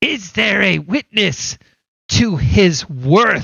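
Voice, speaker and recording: Putting on a character voice, a man talks very slowly at a high pitch. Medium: actual play.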